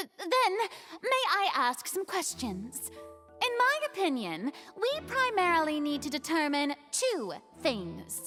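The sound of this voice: A woman uses a put-on character voice, high-pitched with a bright, sharp tone and very wide pitch swings. She goes at a slow pace as faint music plays in the background.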